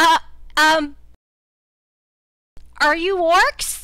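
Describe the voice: This put-on character voice is pitched extremely high.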